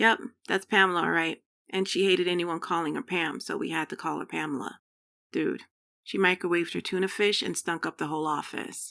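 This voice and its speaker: A woman does a raspy, put-on character voice at a fairly low pitch and a fairly quick pace. The recording is very clean, with a silent background. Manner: rushed and flat, like reading a textbook.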